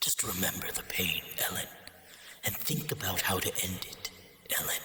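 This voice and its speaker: A man whispers in a put-on character voice at a moderate pace. There is a slight echo and clear background noise. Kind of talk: video game villain monologue. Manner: cold, calm, hateful.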